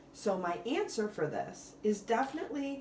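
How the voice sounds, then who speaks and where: Noticeable background noise and audible room echo surround this recording. A woman speaks with lively intonation. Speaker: math teacher. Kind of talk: recorded lesson tutorial.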